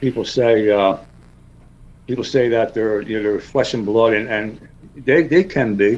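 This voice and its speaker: With a New York accent, a man with a medium pitch and ordinary pitch variation talks at a moderate pace, with long, frequent pauses. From South Jersey, US. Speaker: cryptid researcher. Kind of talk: interview. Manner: halting.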